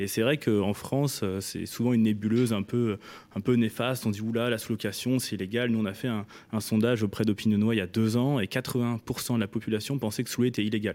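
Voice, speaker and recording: A man's medium-pitched voice, an ordinary speaking voice, at a fairly quick pace with fairly even intonation, on a very clean recording against a silent background. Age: 20s. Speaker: startup founder. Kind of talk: radio interview.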